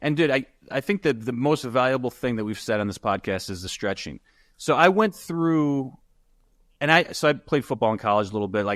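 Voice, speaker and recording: A man with an American accent talks at a fairly quick pace and medium pitch in a plain, everyday voice. The recording is very clean, with a silent background and a dry, close sound with no echo. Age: 40s. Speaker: real estate investor and educator. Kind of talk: podcast interview. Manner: casual.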